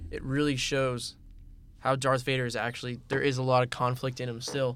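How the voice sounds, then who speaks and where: At a moderate pace, a man speaks with a Californian accent. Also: very clean recording, silent background. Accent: Californian American English. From Los Angeles, San Fernando Valley. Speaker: podcast host, college student athlete. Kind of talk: casual chat.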